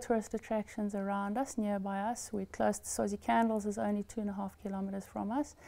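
The voice has a dark, mellow tone. It moves at a fairly quick pace. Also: woman. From Eswatini. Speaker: farm owner. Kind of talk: interview. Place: home room. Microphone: lapel.

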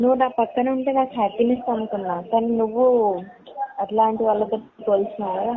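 A normal speaking voice with fairly even intonation comes through over light background noise. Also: woman, fairly high pitch for a woman. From Telangana, Karimnagar district; Telangana. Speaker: caller. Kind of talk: phone conversation. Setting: phone call. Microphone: voice breaking up on the line; phone line.

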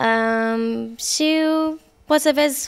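A woman speaks with an Australian accent and lively intonation. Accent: Australian-English accent in Romanian. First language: English (speaking Romanian). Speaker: pop singer; interviewee. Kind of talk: interview. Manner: halting. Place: home room. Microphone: handheld.

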